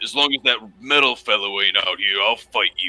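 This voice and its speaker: Growling in a put-on character voice, a man talks at a fairly quick pace. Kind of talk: gruff, rough.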